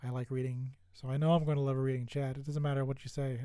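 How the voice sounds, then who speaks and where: On a very clean recording with a silent background, a man with a fairly high pitch speaks at a fairly quick pace in a dark, mellow tone and monotone, flat intonation. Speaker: streamer. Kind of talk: casual chat. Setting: live stream. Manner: soft-spoken; hesitant, many fillers.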